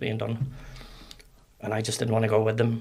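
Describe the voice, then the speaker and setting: Using an American accent, a man talks at a very fast pace in a medium-pitched, monotone voice with flat intonation and vocal fry. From Northern Ireland. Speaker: ex-soldier and security trainer. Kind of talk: podcast interview, storytelling.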